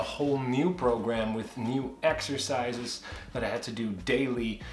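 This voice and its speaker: A man speaks with a Dutch accent. Noticeable background noise and audible room echo are in the recording. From Netherlands. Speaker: kayaking vlogger. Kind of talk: casual vlog update. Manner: conversational with hesitations.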